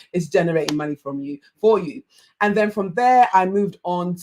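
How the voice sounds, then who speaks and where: A woman speaks with a Yoruba accent. Her pitch is fairly low and her pace fairly quick. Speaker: life coach. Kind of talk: online masterclass talk. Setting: livestream.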